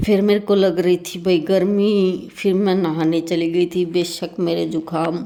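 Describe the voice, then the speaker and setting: Very slowly, a woman speaks in a dark, mellow tone with fairly even intonation. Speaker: vlogger. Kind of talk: vlog narration.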